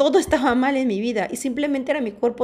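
A woman's animated voice at a fairly quick pace over noticeable background noise. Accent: Mexican. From Mexico. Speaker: podcast host. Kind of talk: personal talk monologue.

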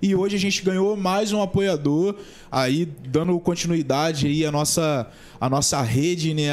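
In an unremarkable speaking voice, a man speaks at a fairly high pitch, his pitch varying in an ordinary way. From Brazil, São Gonçalo (Rio de Janeiro state). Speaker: podcast host. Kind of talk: casual chat.

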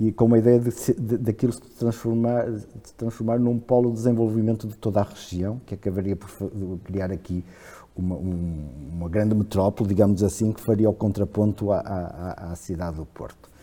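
In a very clean recording with a silent background, a man with a dark, mellow tone and fairly low pitch speaks at a moderate pace, with ordinary pitch variation and big swings in loudness. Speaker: historian. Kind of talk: casual chat. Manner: halting, repeats words.

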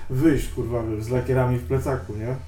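A man at a moderate pace, with audible room echo. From Tricity, Poland (Sopot). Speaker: graffiti writer. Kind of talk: casual interview, heavy swearing. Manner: halting.

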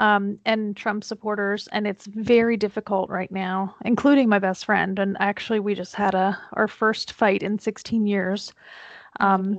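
A woman with an American accent speaks at medium pitch and a moderate pace in a monotone, flat intonation. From central Pennsylvania, near the Maryland line. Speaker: marketing agency owner, podcaster. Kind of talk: casual chat.

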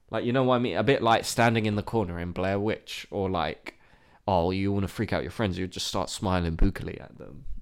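Delivered at a fairly quick pace with big swings in loudness, the voice carries a British accent. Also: man, fairly low pitch for a man, ordinary pitch variation, very clean recording, silent background. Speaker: podcast co-host. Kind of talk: casual chat. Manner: animated.

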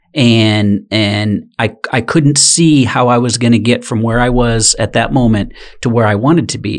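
This man has a normal speaking voice. His pitch sits in the medium range, and it varies an ordinary amount. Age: 50s. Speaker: sales executive and podcast guest. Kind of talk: testimony.

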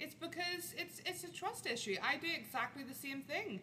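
A woman uses a raised, projected voice with a high pitch and very wide pitch swings. Her pace is moderate, and there is noticeable background noise. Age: 20s. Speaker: podcast host.

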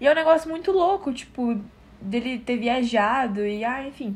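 A woman speaks in a high pitch. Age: 18. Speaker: podcast co-host. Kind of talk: casual chat.

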